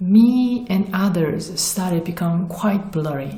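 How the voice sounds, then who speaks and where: A woman with a Korean accent speaks very slowly at a medium pitch with ordinary pitch variation, with audible room echo and noticeable background noise. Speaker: spiritual vlogger. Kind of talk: personal testimony.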